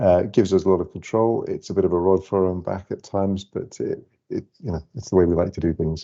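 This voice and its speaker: A man's very deep, low pitch and dark, mellow tone at a very fast pace, with hardly any pauses. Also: fairly even intonation. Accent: Scottish. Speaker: lighting company director. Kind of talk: webinar presentation.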